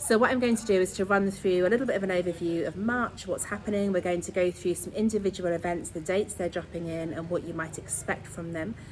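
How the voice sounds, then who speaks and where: In an English accent, a woman speaks at a very fast pace in an enthusiastic tone. Her pitch is medium, with ordinary variation. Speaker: astrologer and sound healer. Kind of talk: astrology talk to online audience.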